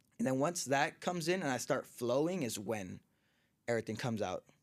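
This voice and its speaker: With an American accent and an ordinary speaking voice, a man speaks at medium pitch and a fairly quick pace with lively intonation. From Southern California (Orange County area). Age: 20s. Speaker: professional boxer. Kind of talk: casual interview chat.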